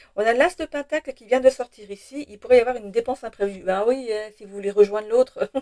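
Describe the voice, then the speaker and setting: The woman's dark, mellow voice rushes along at a very fast pace. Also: ordinary pitch variation, dry, close sound with no echo. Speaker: tarot reader, channel owner. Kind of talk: tarot reading guidance video. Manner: fast at times; hesitant, many fillers and repetitions.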